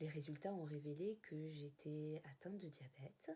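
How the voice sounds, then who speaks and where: Somewhat breathy, a woman's very deep, low voice carries a dark, mellow tone, moving at a moderate pace with fairly even intonation. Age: 40s. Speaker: type 1 diabetic sharing her experience. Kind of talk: personal testimony to camera.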